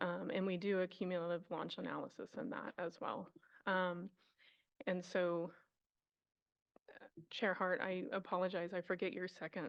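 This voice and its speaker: Vocal fry marks this woman's speech, and her pitch varies in an ordinary way. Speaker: environmental planner at a military base. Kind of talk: testimony at public hearing. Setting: council chambers hearing room. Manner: hesitant, many fillers.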